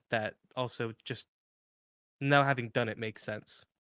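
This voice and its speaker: Mumbling at a medium pitch with fairly even intonation, a man is heard in dry, close sound with no echo over a very clean, silent background. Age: 20s. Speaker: podcast co-host. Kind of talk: interview.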